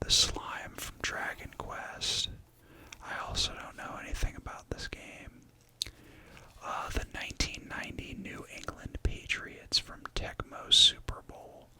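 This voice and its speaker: A whisper moves at a fairly slow pace while noticeable background noise sits behind it. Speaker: ASMR content creator. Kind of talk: ASMR whispered rambling, casual talk to camera. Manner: whispered, rambling, casual.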